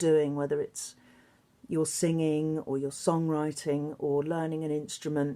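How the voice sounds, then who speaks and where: A woman speaks fairly slowly with an English accent and a fairly low pitch in a dark, mellow tone. The recording is very clean with a silent background. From England. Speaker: singer and songwriter. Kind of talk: recorded interview answers to students.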